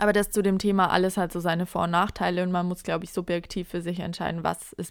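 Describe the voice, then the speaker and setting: A woman with a medium pitch speaks in a monotone, flat way. The recording is very clean, with a silent background. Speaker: podcast host. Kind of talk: casual chat.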